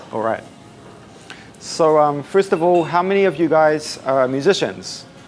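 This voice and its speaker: There is noticeable background noise as a man speaks at a fairly slow pace. His voice is fairly high in pitch with lively intonation. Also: long, frequent pauses. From New Zealand. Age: 20s. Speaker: musician and social media consultant. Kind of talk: talk at a meetup. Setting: room with live audience, no microphone. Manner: casual, uses fillers. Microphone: no microphone, may be hard to hear.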